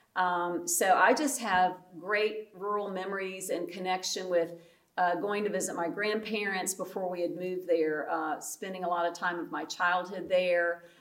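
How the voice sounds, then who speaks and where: Noticeable background noise sits under a woman's voice. Her pitch is medium and her intonation fairly even, at a moderate pace. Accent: North Carolina. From US South, North Carolina (Guilford County). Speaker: pastor. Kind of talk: casual chat.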